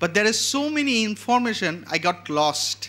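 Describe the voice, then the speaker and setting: A man with a Bengali accent raises and projects his voice. His tone is bright and sharp. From Bangladesh. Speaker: event host introducing a photographer. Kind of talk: speaker introduction.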